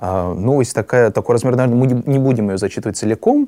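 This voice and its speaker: Very fast and dry, close with no echo, a man's dark, mellow voice sits at a medium pitch with ordinary pitch variation. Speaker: student podcaster. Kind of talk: reading newspaper excerpts and discussion.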